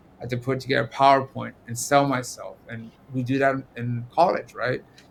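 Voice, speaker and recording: The man's loudness swings widely while his pitch stays medium. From US, immigrant who arrived as a child. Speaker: personal injury attorney. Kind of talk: casual podcast conversation. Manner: animated, repetitive false starts.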